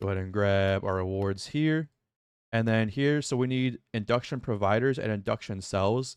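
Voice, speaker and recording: With an ordinary speaking voice and a fairly low pitch, a man speaks at a moderate pace with ordinary pitch variation against a quiet background. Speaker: gaming YouTuber. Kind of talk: gameplay tutorial. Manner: repeats words, fillers.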